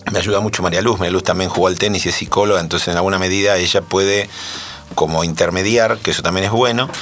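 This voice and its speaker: A man's fairly low voice at a very fast pace, with fairly even intonation and noticeable background noise. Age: 60s. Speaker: former tennis pro and coach. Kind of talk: casual interview.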